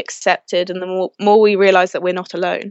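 A woman with a London accent at a fairly quick pace. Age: 20s. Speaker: mental health advocate. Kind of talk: interview. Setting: video call.

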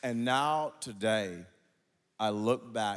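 A man with an American accent and a fairly low pitch, in a very clean recording with a silent background. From Oklahoma (Wewoka). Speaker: pastor. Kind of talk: preacher sermon, rousing guest pulpit message with scripture and numbered points. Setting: stage with audience. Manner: emphatic, repetitive call-and-response preaching cadence; animated.

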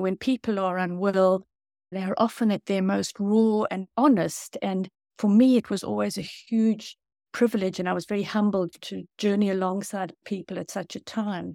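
South African-accented woman at a medium pitch and moderate pace, dark and mellow in tone with fairly even intonation, dry and close with no echo on a very clean recording with a silent background. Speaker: author and former doctor.

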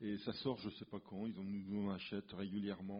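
The speaker is a man with a fairly low voice. He talks at a fairly slow pace. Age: 60s. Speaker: comic book artist. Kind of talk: casual interview. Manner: halting, repeats words.

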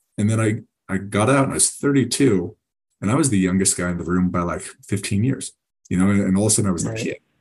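A man with a fairly low voice rattles along at a very fast pace. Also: ordinary pitch variation. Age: 30s. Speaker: military veteran in medical device sales. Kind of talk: casual interview. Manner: halting, many fillers and repeats.

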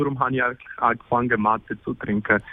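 Here a man speaks with a Spanish accent. His intonation stays fairly even. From Argentina. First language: Spanish (speaking German). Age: 20s. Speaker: exchange student. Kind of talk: interview. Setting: phone call. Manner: halting, many fillers.

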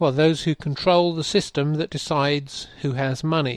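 A man with an English accent and a fairly high-pitched voice speaks at a moderate pace with fairly even intonation. The sound is dry and close with no echo, over a quiet background. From England. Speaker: podcast host and curator. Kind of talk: interview conversation.

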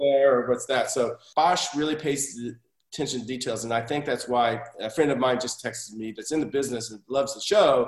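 A man's unremarkable speaking voice, fairly high in pitch, with ordinary pitch variation, a fairly quick pace and big swings in loudness. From Oklahoma, US (Tulsa). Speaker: TV director and assistant director. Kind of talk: podcast interview.

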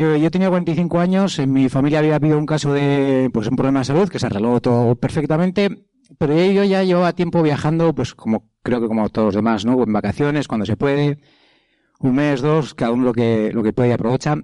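Speaking at a fairly quick pace, a man holds a very even loudness in a dark, mellow tone. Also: fairly high pitch for a man, lively intonation. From Basque Country, Spain. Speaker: travel speaker, cyclist. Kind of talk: public talk. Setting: stage with audience. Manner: halting.

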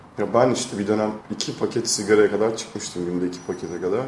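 Amid noticeable background noise and audible room echo, a man talks at a very fast pace with a fairly low pitch and fairly even intonation. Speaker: podcast co-host. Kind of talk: casual chat.

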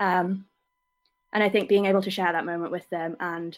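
A woman with an English accent, fairly even intonation and a fairly quick pace. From England. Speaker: camp photographer. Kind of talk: casual interview. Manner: hesitant.

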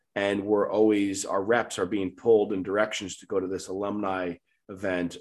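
A man's fairly low voice with a New York accent against a quiet background. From Long Island, New York. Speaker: medical supply sales director. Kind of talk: casual interview.

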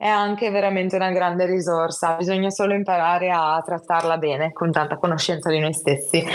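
An ordinary speaking voice, a woman at a moderate pace. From Italy, Genoa. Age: 20s. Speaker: psychology student sharing her illness experience. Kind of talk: personal testimony in casual interview.

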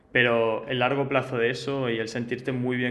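Noticeable background noise and audible room echo around a man's voice of medium pitch. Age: young. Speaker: startup co-founder. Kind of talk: interview. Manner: halting, many repeated words.

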